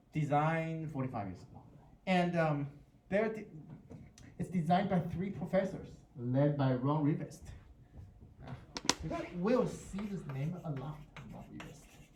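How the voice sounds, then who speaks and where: Pausing long and often, a man speaks at a moderate pace with a fairly high pitch, ordinary pitch variation and big swings in loudness. Audible room echo and noticeable background noise fill the recording. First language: Mandarin Chinese. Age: 40s. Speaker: university professor. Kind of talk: lecture. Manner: halting, with many repetitions.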